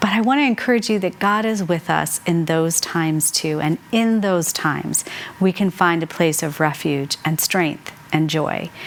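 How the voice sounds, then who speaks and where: A woman with an American accent at a moderate pace, her pitch fairly low with ordinary pitch variation, amid noticeable background noise. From Colorado, US (Mexican American). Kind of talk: devotional teaching with personal testimony. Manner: conversational, with fillers.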